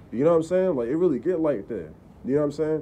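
A man with a dark, mellow tone. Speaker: vlogger. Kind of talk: casual vlog chat. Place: street.

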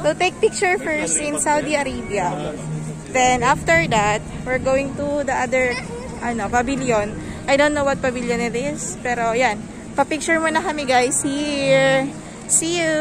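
Speech at a moderate pace comes through with a dry sound and no echo, while clear music plays in the background. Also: woman. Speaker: travel vlogger. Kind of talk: casual vlog chat. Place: hall. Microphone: phone near.

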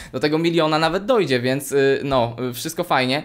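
Against a quiet background, a man talks at a fairly quick pace with a fairly high pitch. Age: 20s. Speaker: YouTuber. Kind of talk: casual chat. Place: home room.

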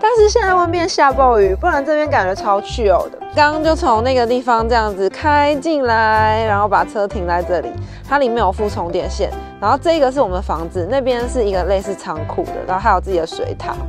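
Clear music plays in the background as a woman talks with hardly any pauses. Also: moderate pace, dry sound with no echo. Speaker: travel vlogger. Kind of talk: casual vlog chat. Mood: upbeat, cheerful. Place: rain. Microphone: phone near.

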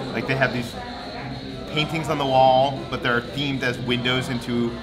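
Clear music plays in the background as a man speaks at a moderate pace. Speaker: travel vlogger. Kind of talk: casual vlog chat. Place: cafe. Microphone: phone near.

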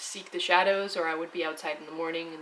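Fairly quick speech over light background noise. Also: woman. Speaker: travel vlogger. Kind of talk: casual vlog chat. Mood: relaxed, calm. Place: home room.

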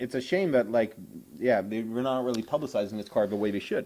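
A man's voice of medium pitch with a dark, mellow tone. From southern Sweden. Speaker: MMA show host. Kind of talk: casual chat. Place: home room. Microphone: handheld.

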